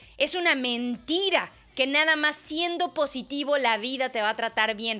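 A woman with a high pitch speaks in a raised, projected voice at a moderate pace. Her tone is animated, with very wide pitch swings. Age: 30s. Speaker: wellness podcast host. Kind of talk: casual solo monologue.

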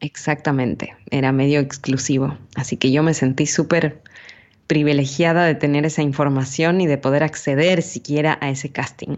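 A woman talks at a moderate pace in a very deep, low voice. Her intonation is monotone and flat. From Ecuador, Quito. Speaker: voice actress and commercial announcer. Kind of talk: interview.

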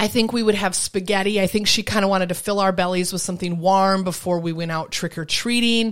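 This woman talks very fast, with hardly any pauses. Her pitch is medium and her intonation fairly even. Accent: American. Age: 40s. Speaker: podcast co-host. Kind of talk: casual chat.

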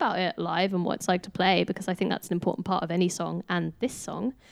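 At a fairly quick pace, a woman with an unremarkable speaking voice talks at medium pitch, the sound dry and close with no echo. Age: 20s. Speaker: band member, singer. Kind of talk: casual chat among bandmates.

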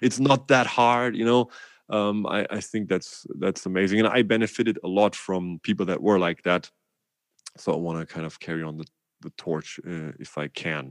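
Moderate pace and lively intonation in a German accent, with big swings in loudness. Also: man, fairly low pitch for a man. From Germany. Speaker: drummer and music educator. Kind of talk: casual interview. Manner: animated.

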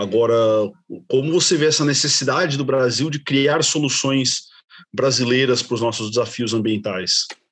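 Moderate pace and ordinary pitch variation from a man at medium pitch, in a normal speaking voice. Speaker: podcast co-host, business administrator. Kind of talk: interview.

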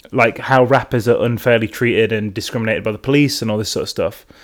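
A man is speaking. He has an English Midlands accent. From England, Derby. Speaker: podcast host. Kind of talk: casual chat. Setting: at home on the sofa.

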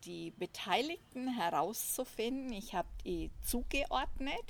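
Intonation is lively in this woman's speech. She talks very slowly. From Franconia, Germany (Nuremberg area). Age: 50s. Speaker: systemic coach. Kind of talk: casual chat. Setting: at host's home.

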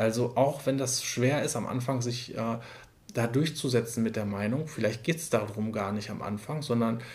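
A man speaks at a medium pitch with ordinary pitch variation. His somewhat breathy voice moves at a moderate pace. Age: 30s. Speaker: care services manager, trained nurse. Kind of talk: interview. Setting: in person, sitting together.

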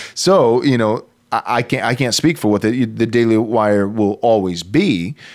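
The man has an unremarkable speaking voice at a medium pitch with ordinary pitch variation and very even loudness. He goes at a fairly slow pace in a very clean recording with a silent background. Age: 30s. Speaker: pastor and podcast host. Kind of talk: casual chat.

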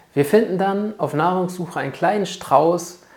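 Her pace is moderate as the woman speaks with ordinary pitch variation. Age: 30s. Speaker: trading mindset coach and podcast host. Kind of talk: solo podcast monologue, explanatory.

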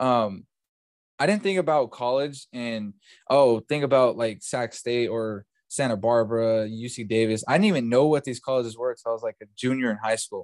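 A man's medium-pitched voice with a Californian accent, ordinary pitch variation and a moderate pace, dry and close with no echo. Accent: general Californian American. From California, Bakersfield. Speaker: podcast host. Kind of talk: casual chat. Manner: casual, filler-heavy.

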